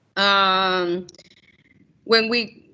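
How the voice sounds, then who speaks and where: A woman talks with a Spanish accent. Her intonation stays fairly even. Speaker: journalist. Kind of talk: Q&A after a talk. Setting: school event with audience. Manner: halting.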